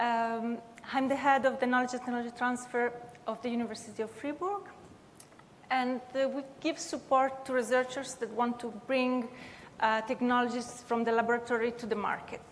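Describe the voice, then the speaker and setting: Someone with an Italian-Swiss accent speaks with fairly even intonation over noticeable background noise. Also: woman, high pitch for a woman, moderate pace. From Italian-speaking Switzerland. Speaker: university tech transfer head, panelist. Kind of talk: panel discussion.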